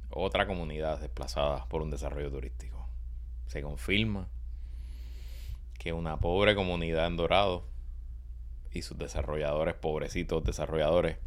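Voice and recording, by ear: Speaking at a moderate pace with long, frequent pauses, a man uses an extremely low pitch with ordinary pitch variation.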